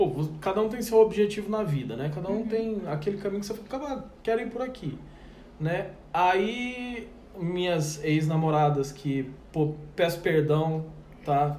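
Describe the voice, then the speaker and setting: With lively intonation and a high pitch for a man, a male speaker keeps a moderate pace broken by long, frequent pauses, amid audible room echo and noticeable background noise. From Brazil, countryside town. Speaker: podcast host. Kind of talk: casual chat.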